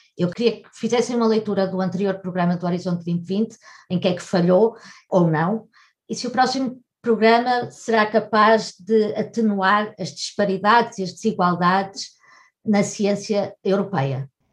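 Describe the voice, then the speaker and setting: This woman's voice is somewhat breathy. Her pitch is medium. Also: ordinary pitch variation, moderate pace. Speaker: journalist interviewer. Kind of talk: interview.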